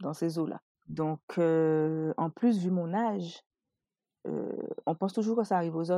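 A woman speaks at a fairly slow pace with a dark, mellow tone and long, frequent pauses. The sound is dry and close, with no echo. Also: fairly low pitch for a woman, ordinary pitch variation. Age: 30s. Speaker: entrepreneur and mother. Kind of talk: personal testimony.

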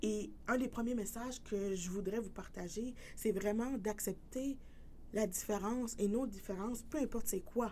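A woman of medium pitch has a dark, mellow tone. She speaks at a moderate pace amid audible room echo. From New Brunswick, Canada. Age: 30s. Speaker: podcast host. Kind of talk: personal testimony monologue.

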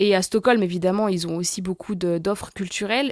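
A woman talks at a fairly quick pace with ordinary pitch variation, in a dry, close sound with no echo. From France, La Rochelle and Paris region. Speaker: expat guest, communications professional. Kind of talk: interview. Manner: hesitant with many fillers.

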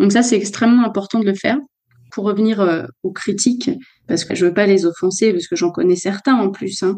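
Her voice dark and mellow at a medium pitch, a woman talks at a fairly quick pace with ordinary pitch variation and long, frequent pauses. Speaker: opera singer. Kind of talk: interview conversation. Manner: hesitant with fillers.

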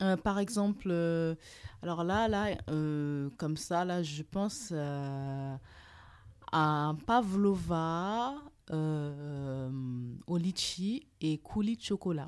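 A woman's fairly low voice with lively intonation, a very slow pace and long, frequent pauses, on a very clean recording with a silent background. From Burkina Faso. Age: 30s. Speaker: private chef. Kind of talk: interview.

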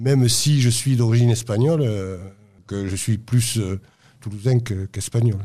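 A man with a medium-pitched, dark, mellow, somewhat breathy voice speaks at a moderate pace with fairly even intonation and long, frequent pauses. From Toulouse, southwest France. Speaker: football supporter. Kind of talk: interview testimony. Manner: halting, repeats words.

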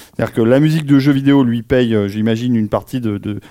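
The voice has a dark, mellow tone, captured on a very clean recording with a silent background. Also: man. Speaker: podcast co-host on film and game music. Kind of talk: casual chat before a live audience. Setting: recorded in a club with audience.

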